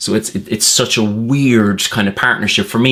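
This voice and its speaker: Heard in a very clean recording with a silent background, a man with an Irish accent speaks at a fairly low pitch and a moderate pace. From Ireland. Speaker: political commentator. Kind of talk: satirical monologue. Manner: sarcastic, conversational.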